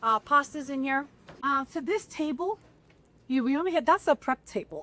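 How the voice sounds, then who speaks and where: A woman's high-pitched, animated voice with a New York accent, raised and projected, lively in intonation, at a moderate pace, with a dry, close sound and no echo. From New York, the Bronx. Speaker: restaurant owner. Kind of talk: casual chat. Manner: loud.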